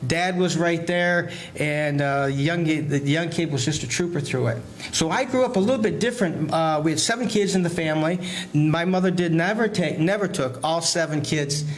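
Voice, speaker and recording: In an American accent, a man with a fairly high pitch speaks at a fairly quick pace with ordinary pitch variation and very even loudness, with audible room echo and noticeable background noise. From Michigan (Flint). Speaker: chiropractor. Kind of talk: casual interview. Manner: halting, repeats words.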